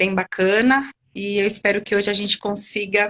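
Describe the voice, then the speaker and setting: At a moderate pace and medium pitch, a woman with fairly even intonation talks in an ordinary speaking voice. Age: 40s. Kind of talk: interview chat.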